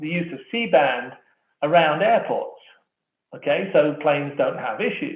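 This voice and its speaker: A man with an English accent speaks at a high pitch with lively intonation. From England. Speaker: wireless industry analyst. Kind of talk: conference keynote presentation. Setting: online conference. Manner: conversational; fast.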